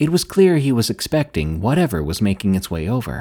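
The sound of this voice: A reading voice that is unforced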